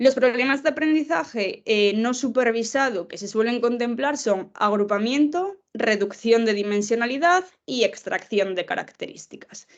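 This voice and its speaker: Speaking at a fairly slow pace with an unremarkable speaking voice, a woman pitched fairly high uses lively intonation and big swings in loudness. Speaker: professor, lecturer. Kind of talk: lecture.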